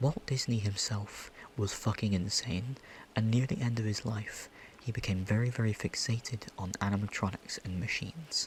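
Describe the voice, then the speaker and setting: In an American accent, a man talks at a moderate pace with fairly low pitch, ordinary pitch variation and a somewhat breathy quality. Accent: British with slight American creeping in. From Britain. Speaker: ASMR creator. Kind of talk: casual rambling chat. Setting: home recording in a pillow fort. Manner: whispering; animated.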